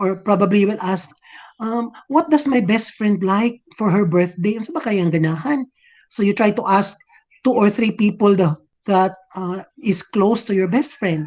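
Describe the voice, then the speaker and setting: In a Visayan Filipino accent, a woman speaks at a moderate pace with a medium pitch and ordinary pitch variation. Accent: Filipino (Cebuano) English. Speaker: teacher. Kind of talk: lecture. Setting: video call.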